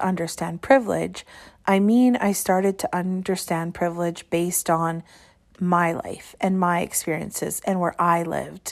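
A woman with a Canadian Prairie accent speaks at a moderate pace and medium pitch. The recording is very clean, with a silent background. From Saskatchewan, Canada (small towns). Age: 30s. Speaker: education podcaster. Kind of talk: personal reflective monologue.

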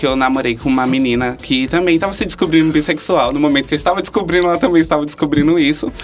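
With hardly any pauses, a man speaks at a very fast pace and a fairly high pitch over noticeable background noise. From Brazil, Pernambuco (Vitória de Santo Antão). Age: 20s. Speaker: nursing student and LGBT activist. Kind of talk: interview.

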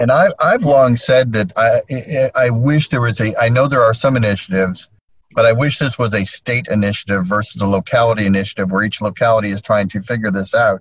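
The somewhat breathy voice moves at a fairly quick pace with ordinary pitch variation and hardly any pauses. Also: man, medium pitch for a man. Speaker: realtor, association committee chair. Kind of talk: casual chat. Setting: in a parked car via laptop hotspot. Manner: animated.

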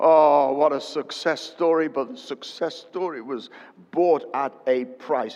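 A man with an unremarkable speaking voice talks fairly slowly at a fairly high pitch with ordinary pitch variation. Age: 60s. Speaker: preacher. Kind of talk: sermon. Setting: church with congregation.

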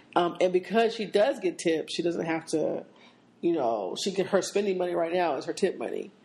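Against a quiet background, a woman with an American accent talks at a fairly quick pace in a fairly low pitch, her tone dark and mellow and her pitch variation ordinary. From Seattle. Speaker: podcast co-host. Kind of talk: casual chat.

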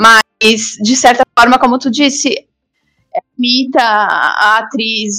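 A woman's fairly high, bright, sharp voice in a monotone, flat intonation. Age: 20s. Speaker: advertising professional and content creator. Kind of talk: casual chat.

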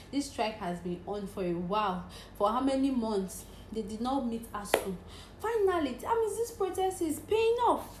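A woman with a high pitch and very wide pitch swings speaks in an animated tone at a moderate pace, with noticeable background noise behind her. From Nigeria, Cross River State. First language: Nigerian native language. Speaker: podcaster. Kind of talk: casual monologue.

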